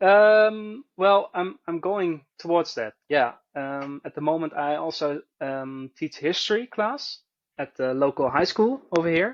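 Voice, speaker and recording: A man's high voice in a Dutch accent, lively in intonation, at a fairly slow pace, with a dry, close sound and no echo. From Netherlands, Arnhem. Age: 30s. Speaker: bowyer and history teacher. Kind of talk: casual interview. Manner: halting, with repetitions and fillers.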